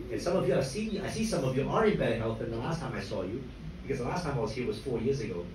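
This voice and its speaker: Against noticeable background noise and audible room echo, a man with a fairly high voice speaks with lively intonation. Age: 60s. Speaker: motivational speaker at a company event. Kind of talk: talk to an audience. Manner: conversational, with frequent fillers.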